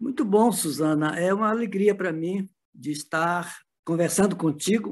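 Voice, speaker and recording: Speaking at a fairly slow pace, a man with a high pitch is heard against a quiet background. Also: ordinary pitch variation. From northern Brazil, Belém do Pará. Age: 70s. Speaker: spiritist movement veteran. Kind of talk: interview conversation.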